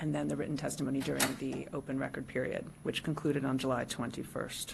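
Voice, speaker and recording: Soft-spoken, a woman talks at a very fast pace. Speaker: county planner. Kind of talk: staff report to public board.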